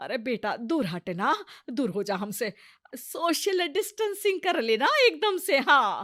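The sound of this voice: In a put-on character voice, a woman speaks slowly at a high pitch with big pitch swings. The recording is very clean, with a silent background. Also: fairly bright tone.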